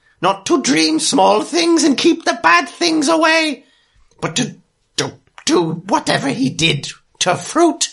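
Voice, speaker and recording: Someone in a put-on character voice speaks at a very slow pace with a high pitch and very wide pitch swings. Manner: broken third-person speech, dramatic and self-pitying.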